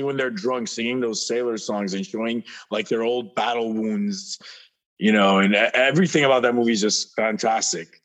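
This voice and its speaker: A man speaks at a medium pitch in a plain, everyday voice. His intonation is lively. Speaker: actor and musician. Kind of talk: casual chat. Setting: video call.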